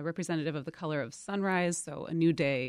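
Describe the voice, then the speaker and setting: A woman with an unremarkable speaking voice talks at a moderate pace, her fairly low pitch showing ordinary pitch variation. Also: very clean recording, silent background. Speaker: political scientist. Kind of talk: radio interview. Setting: studio.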